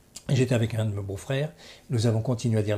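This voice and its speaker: The voice is somewhat breathy, with a dark, mellow tone. The recording is very clean, with a silent background. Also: man. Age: 70s. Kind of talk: interview.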